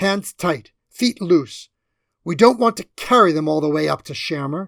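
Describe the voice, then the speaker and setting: At a middle pitch and moderate pace, a growling, put-on character voice comes through on a very clean recording with a silent background. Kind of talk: colloquial working-class speech. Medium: read story. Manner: blunt, plainspoken.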